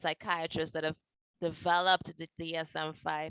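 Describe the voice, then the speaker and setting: A woman with a Trinidadian accent speaks at a fairly slow pace and fairly low pitch, in a dry, close sound with no echo, on a very clean recording with a silent background. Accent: Trinidadian, sing-song. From Trinidad and Tobago. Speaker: mental health counselor. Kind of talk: educational talk.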